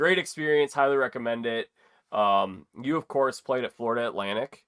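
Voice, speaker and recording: Here a man talks in a normal speaking voice at a medium pitch. His pace is moderate, and his pitch variation is ordinary. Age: 20s. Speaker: podcast host. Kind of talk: casual interview chat.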